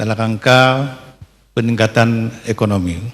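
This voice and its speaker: Speaking at a medium pitch, a man delivers his words at a very slow pace in a monotone, flat intonation. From Aceh, Indonesia. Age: 70s. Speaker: retired civil servant, regional pensioners' association official. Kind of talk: public address to the First Lady at a televised event. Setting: palace hall event, broadcast on TV. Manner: halting, frequent fillers; formal.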